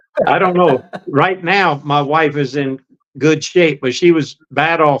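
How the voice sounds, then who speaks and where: Speaking in a Southern US accent, a man uses a fairly high pitch and fairly even intonation. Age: 80s+. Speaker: retired hiker and YouTuber. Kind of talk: casual chat. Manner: halting.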